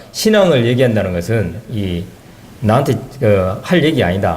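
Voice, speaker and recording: Noticeable background noise and audible room echo around a man speaking with lively intonation. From South Korea, South Jeolla (Haenam). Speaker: church member giving testimony. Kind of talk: testimony.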